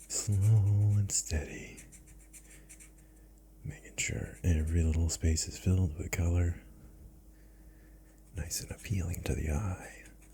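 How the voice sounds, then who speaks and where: A soft-spoken man with a very deep, low pitch and very wide pitch swings, relaxed in tone, at a fairly slow pace with long, frequent pauses, over noticeable background noise. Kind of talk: ASMR soft spoken narration while coloring. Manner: soft-spoken, slow, relaxed.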